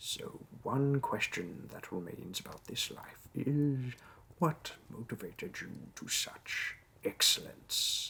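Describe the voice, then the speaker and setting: In a put-on character voice, a man talks fairly slowly at a fairly high pitch. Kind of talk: audio role play. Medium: role play. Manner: polite, businesslike.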